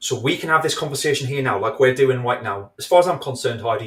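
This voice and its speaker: In an English accent, a man speaks at a very fast pace, somewhat breathy, in a medium pitch with ordinary pitch variation. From England. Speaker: video marketing expert. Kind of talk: casual chat. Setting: live video show.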